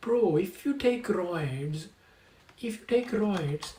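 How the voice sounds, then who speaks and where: The man talks with lively intonation. His accent is non-native. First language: not English. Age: 20s. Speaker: streamer. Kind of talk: live stream rant. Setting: live stream. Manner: repetitive, halting restarts; animated.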